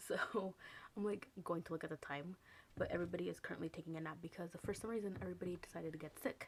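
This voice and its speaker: A woman whispers in a put-on character voice. It is raspy and very fast. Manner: whispering.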